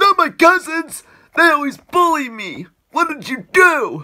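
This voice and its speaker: A cartoonish character voice at a high pitch. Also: fairly slow pace. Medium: puppet show. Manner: suspicious, then dismayed.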